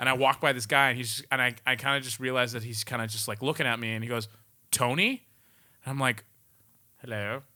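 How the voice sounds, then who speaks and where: A man's medium-pitched, bright and sharp voice at a very fast pace, monotone and flat, broken by long, frequent pauses, on a very clean recording with a silent background. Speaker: podcast co-host. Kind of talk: casual chat.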